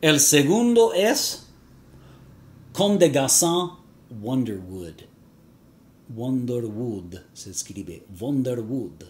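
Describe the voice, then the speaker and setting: A man with an English accent and medium pitch speaks in a somewhat breathy voice, with very wide pitch swings, big swings in loudness, and long, frequent pauses. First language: English (speaking Spanish). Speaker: fragrance reviewer YouTuber. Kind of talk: vlog to camera. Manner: halting, with fillers.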